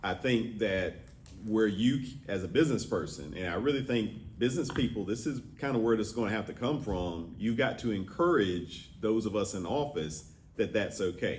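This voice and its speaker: A man's moderate-paced, fairly low-pitched speech with lively intonation and audible room echo. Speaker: state representative. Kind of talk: answering questions at a public forum. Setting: business roundtable with audience.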